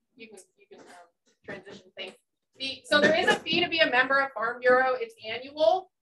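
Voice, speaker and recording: A woman with an American accent speaks in a raised, projected voice. Her pitch is high, with ordinary variation. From New Jersey. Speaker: farm bureau chapter president. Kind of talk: presentation. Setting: stage with audience. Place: meeting room. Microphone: camera far.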